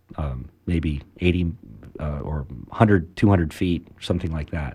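A man talks with a very deep, low voice and a dark, mellow tone. His pitch varies in an ordinary way. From Maryland and Venezuela. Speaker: former submariner and marine salvage company owner. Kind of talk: radio interview.

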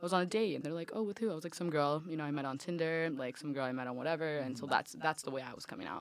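Very fast and with hardly any pauses, a woman talks in an American accent at a very deep, low pitch with ordinary pitch variation. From Miami, Florida. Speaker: college student. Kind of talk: casual group discussion.

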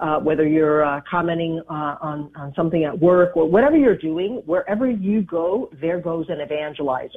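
Here is a woman with a fairly low pitch. She has a plain, everyday voice. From US and Dominican Republic. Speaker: radio show host. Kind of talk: interview.

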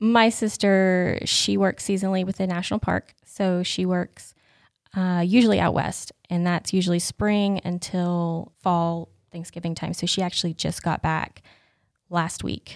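A woman's medium-pitched, monotone, flat delivery at a fairly slow pace in an American accent, with a dry, close sound, no echo, and a very clean recording with a silent background. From western North Carolina mountains. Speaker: church member. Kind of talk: casual chat.

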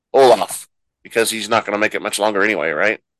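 A normal speaking voice with fairly even intonation over a quiet background. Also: man. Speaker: podcast host. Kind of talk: casual podcast chat with recap.

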